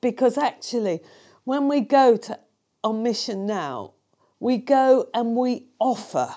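At a fairly slow pace, a woman talks with a British accent. Her pitch is high. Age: 60s. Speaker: charity founder and speaker. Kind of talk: interview testimony.

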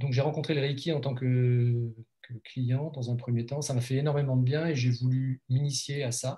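A man's dark, mellow, somewhat breathy voice holds a monotone, flat intonation. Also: medium pitch for a man, moderate pace. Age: 50s. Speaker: life coach and blogger. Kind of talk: interview. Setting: video call.

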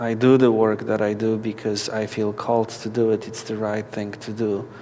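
A man with a Polish accent talks at a moderate pace in a medium pitch and a flat monotone, with noticeable background noise behind him. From Poland. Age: 40s. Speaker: activist and spiritual director. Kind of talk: interview. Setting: at a conference.

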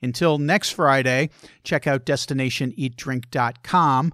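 This man has a normal speaking voice, fairly high in pitch, with ordinary pitch variation and a moderate pace on a very clean recording with a silent background. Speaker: travel and food podcast host. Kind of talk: casual interview.

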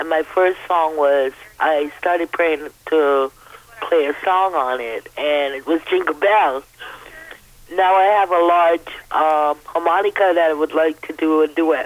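Fairly slow speech over noticeable background noise. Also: woman, very deep, low pitch for a woman, fairly even intonation. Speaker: caller. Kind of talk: friendly call-in chat. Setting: phone call.

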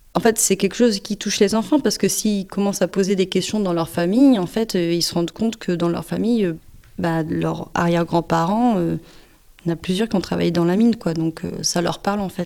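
A woman speaks at a medium pitch and a fairly quick pace. Her tone is dark and mellow, with ordinary pitch variation. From northern France, Pas-de-Calais mining basin. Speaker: musician and punk singer. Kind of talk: interview testimony.

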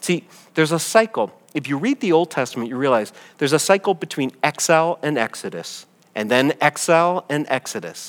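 A man with fairly high pitch talks at a fairly quick pace in a plain, everyday voice, the recording very clean with a silent background and the sound dry and close with no echo. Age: 50s. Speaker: pastor. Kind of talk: sermon. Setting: church gathering.

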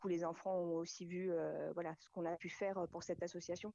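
A woman speaks at a moderate pace in a fairly low pitch, her tone dark and mellow. The background is quiet. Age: 40s. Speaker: amateur raid participant. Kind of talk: radio interview.

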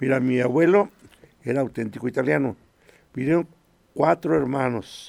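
With lively intonation and some vocal fry, a man speaks in a medium pitch at a moderate pace. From Mexico, Puebla (Acatlán). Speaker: choir director. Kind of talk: radio interview. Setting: radio studio.

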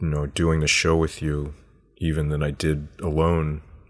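A man with a very deep, low voice speaks at a fairly slow pace. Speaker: podcast host. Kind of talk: interview and sponsor reads.

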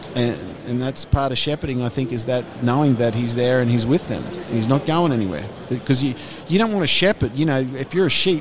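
Against noticeable background noise, a man with an Australian accent speaks at a medium pitch with lively intonation. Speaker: ministry staff worker. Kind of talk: casual interview chat. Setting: conference booth.

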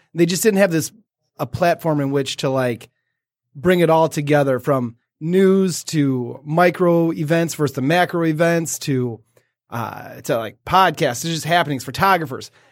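In a very clean recording with a silent background, a man with an American accent and a plain, everyday voice speaks at a moderate pace, his fairly high pitch showing ordinary pitch variation. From Detroit, Michigan. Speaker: guest podcaster. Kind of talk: casual interview chat.

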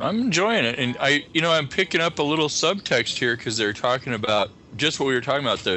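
A man speaks at a very fast pace amid noticeable background noise. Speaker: horror podcast host appearing as guest. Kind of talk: casual group movie commentary. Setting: Skype call.

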